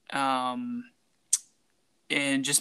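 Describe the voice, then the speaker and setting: A man's medium-pitched voice, bright and sharp in tone, with monotone, flat intonation. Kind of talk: casual comedy podcast banter.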